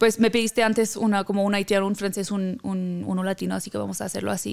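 Here a woman talks. She moves at a fairly quick pace. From Haiti. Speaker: singer-songwriter; guest. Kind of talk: interview. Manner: halting. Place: studio. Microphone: studio mic.

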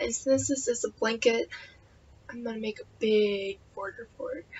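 Moderate speed from a female speaker, with noticeable noise behind her. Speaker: crochet vlogger. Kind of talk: casual chat. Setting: video, home.

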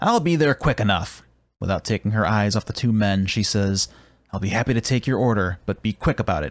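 The reading voice sounds natural. Its pitch moves in an ordinary way.

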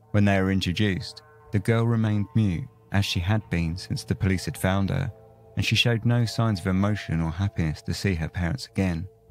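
Over music in the background, a man speaks at a fairly quick pace with a fairly low pitch and ordinary pitch variation. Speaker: podcast host. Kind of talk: true-crime narration. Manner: measured, storytelling tone; casual, chatty in asides.

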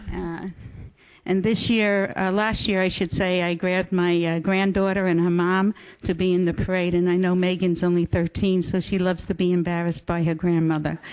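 A woman's medium-pitched voice at a moderate pace, with monotone, flat intonation. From New York. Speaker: community volunteer. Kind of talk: acceptance speech. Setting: city council meeting.

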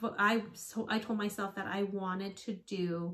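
With a quiet background, a woman speaks with fairly even intonation. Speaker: fitness vlogger, teacher. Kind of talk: casual vlog chat. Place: home room.

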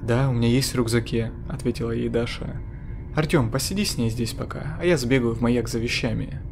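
A natural reading voice carries the passage with fairly even intonation.

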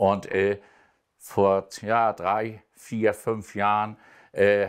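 Monotone, flat intonation runs through a man's fairly low voice. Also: quiet background. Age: 70s. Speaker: amateur football coach. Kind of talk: talk show interview. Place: studio. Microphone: lapel.

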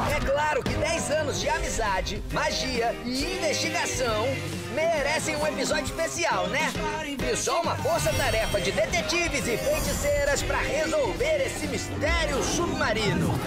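Loud music plays in the background. The speech moves at a fairly slow pace. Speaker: channel voice announcer. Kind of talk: TV channel promo read. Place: booth. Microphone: studio mic.

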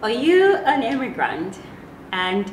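A woman's voice makes very wide pitch swings. There is noticeable background noise behind her. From Ghana. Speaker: vlogger. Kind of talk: casual talk to camera. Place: home room.

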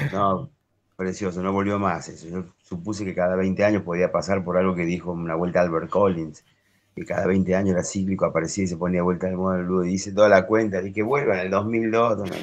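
Very deep and low, this man's voice moves at a fairly quick pace with fairly even intonation. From Argentina. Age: 50s. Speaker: harmonica player; interviewee. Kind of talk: interview. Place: home room. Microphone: video call.

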